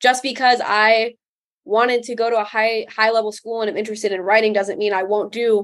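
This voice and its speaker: This woman has a plain, everyday voice with an American accent. She talks at a fairly quick pace and a fairly high pitch. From US Midwest, northern Illinois. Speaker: college student. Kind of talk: interview.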